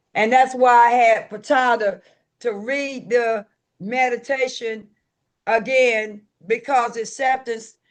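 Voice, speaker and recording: At a very slow pace, the speaker talks in a Southern US accent. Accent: Southern US rural. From US South, rural. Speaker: recovery group leader. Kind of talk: recovery meeting talk. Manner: animated.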